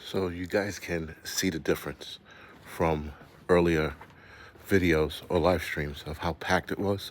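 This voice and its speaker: A man speaks quietly at a fairly slow pace. His voice is very deep and low, with monotone, flat intonation. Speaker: prepper channel host doing live stream walk. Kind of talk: live stream walking tour. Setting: outdoors, walking streets at night. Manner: talking low, quiet.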